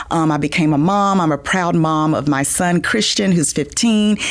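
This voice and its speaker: Speaking with a South Georgia accent, a woman uses a very deep, low voice and lively intonation at a fairly quick pace. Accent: Southern (South Georgia). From US South, small-town South Georgia. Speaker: business association president, former lawyer. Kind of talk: podcast interview.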